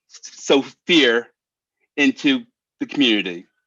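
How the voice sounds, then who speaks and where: A loud man's voice, bright and sharp, with lively intonation and a dry, close sound free of echo. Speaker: public commenter at town meeting. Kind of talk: public comment speech. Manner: halting.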